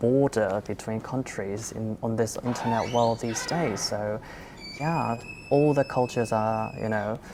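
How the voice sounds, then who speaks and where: A woman speaks with a Korean accent at a very deep, low pitch and a moderate pace. Her intonation is fairly even, with noticeable background noise. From South Korea. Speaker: content creator. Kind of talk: panel discussion.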